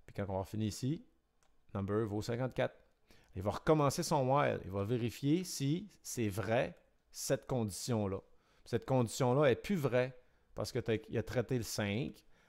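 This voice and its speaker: With a Quebec accent, a man of medium pitch talks at a fairly slow pace with lively intonation, recorded very cleanly against a silent background. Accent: Québécois. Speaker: electronics and programming teacher. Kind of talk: tutorial. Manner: casual, hesitant with many fillers.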